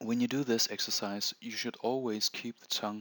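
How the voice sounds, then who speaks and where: A man with a non-native accent at a moderate pace, bright and sharp in tone, with a dry, close sound and no echo. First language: not English. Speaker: meditation instructor. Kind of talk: tutorial. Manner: halting.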